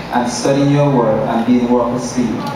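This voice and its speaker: Strong room echo and noticeable background noise surround the recording. A man talks at a moderate pace. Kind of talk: prayer. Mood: solemn, earnest. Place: church.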